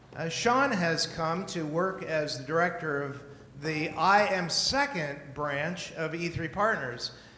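Amid noticeable background noise, a man with a high pitch talks at a very slow pace with ordinary pitch variation. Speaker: pastor introducing guest speaker. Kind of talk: spoken introduction. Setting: church.

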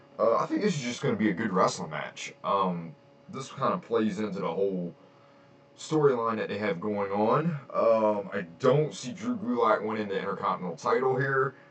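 There is noticeable background noise behind this man. His pitch swings very widely. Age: 30s. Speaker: wrestling podcaster. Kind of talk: casual solo podcast. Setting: home recording, on camera. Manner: casual, filler-heavy.

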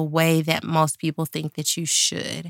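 In a dry, close recording with no echo, a woman with an American accent speaks at a moderate pace, her fairly low pitch carrying a bright, sharp tone. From Dallas, Texas. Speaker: podcast host and pastor. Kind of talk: casual chat. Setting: Facebook Live video stream.

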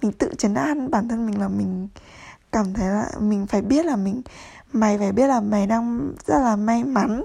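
Somewhat breathy and dark, mellow in tone, a woman's fairly high voice moves at a fairly slow pace with ordinary pitch variation. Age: 20s. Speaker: podcaster. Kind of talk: casual monologue.

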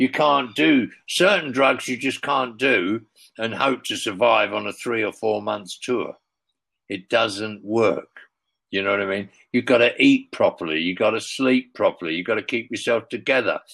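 On a very clean recording with a silent background, the voice has a bright, sharp tone and moves at a moderate pace. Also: man. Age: 70s. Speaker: former music tour manager, now writer. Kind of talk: casual interview.

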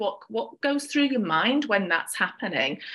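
With a British accent, a woman speaks at a fairly quick pace in an enthusiastic, bright, sharp tone and lively intonation. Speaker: podcast host. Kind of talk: interview conversation.

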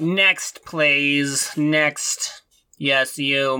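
A put-on character voice pitched low to middle. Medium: actual play. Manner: curt, disdainful.

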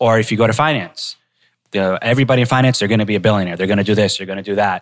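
Recorded very cleanly against a silent background, a man with an American accent speaks at a medium pitch. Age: 30s. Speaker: podcast host. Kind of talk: casual chat. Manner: animated.

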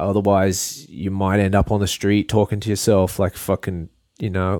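A man with a fairly low pitch and a dark, mellow tone at a moderate pace with fairly even intonation, in a dry, close sound with no echo and a very clean recording with a silent background. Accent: Australian. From Australia, Port Macquarie NSW. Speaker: artist and photographer. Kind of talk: casual interview chat.

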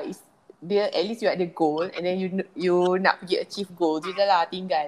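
A woman with a normal speaking voice talks at a medium pitch with fairly even intonation over a quiet background. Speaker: podcast host. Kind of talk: casual interview.

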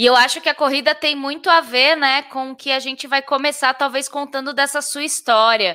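A woman's high-pitched, raised, projected voice with a bright, sharp tone at a moderate pace. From interior of São Paulo state, Brazil. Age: 30s. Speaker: podcast host. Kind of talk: casual interview.

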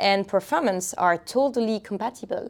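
A woman with a French accent speaks at a fairly high pitch. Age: 30s. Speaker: community manager. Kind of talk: interview. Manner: halting.

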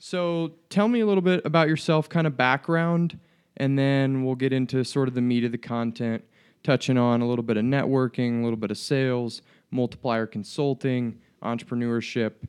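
An ordinary speaking voice at a moderate pace. The pitch varies in an ordinary way. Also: man, medium pitch for a man. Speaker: student podcast host. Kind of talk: casual interview.

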